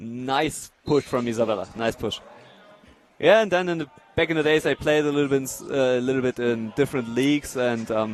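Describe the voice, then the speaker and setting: With a German accent, a man speaks at a medium pitch with ordinary pitch variation. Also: moderate pace. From Germany. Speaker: wheelchair rugby player and expert commentator. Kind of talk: live commentary. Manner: hesitant, many fillers.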